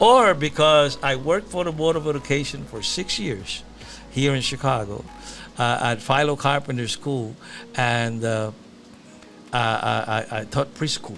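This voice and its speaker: A man's medium-pitched voice at a fairly slow pace, with ordinary pitch variation, long, frequent pauses and music in the background. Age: 60s. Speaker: musician and exonerated former prisoner. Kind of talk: talk show interview. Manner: halting, many repetitions.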